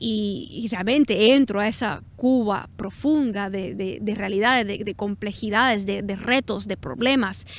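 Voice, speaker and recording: This woman's fairly high voice shows ordinary pitch variation as she talks at a fairly slow pace. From South Florida, Cuban-American. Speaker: artist and political commentator. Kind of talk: interview answers, spontaneous monologue. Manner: hesitant, many fillers and restarts.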